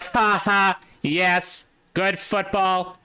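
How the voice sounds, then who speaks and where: In a put-on character voice, the speaker sounds robotic, with a middle pitch and a monotone, flat intonation. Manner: stilted.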